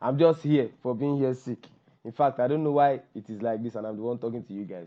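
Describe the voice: At a fairly quick pace, a man speaks with a dark, mellow tone. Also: medium pitch for a man, ordinary pitch variation.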